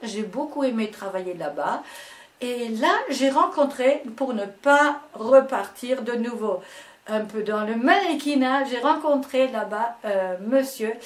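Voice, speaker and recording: A high-pitched woman's voice with lively intonation at a very slow pace, against noticeable background noise. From Germany, Ruhr region. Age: 70s. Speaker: dance and fitness teacher. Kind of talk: interview. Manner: halting.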